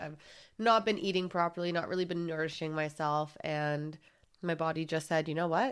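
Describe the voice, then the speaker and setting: In a very clean recording with a silent background, a woman speaks at a moderate pace. Her pitch is very deep and low, with ordinary variation. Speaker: podcast host. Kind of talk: casual monologue.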